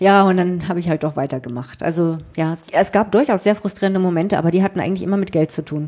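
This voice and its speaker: With a northern German accent, a woman talks at a very fast pace with hardly any pauses, her pitch fairly low and varying in an ordinary way. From southwest Germany (Freiburg), northern German family. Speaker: journalist and author. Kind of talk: interview.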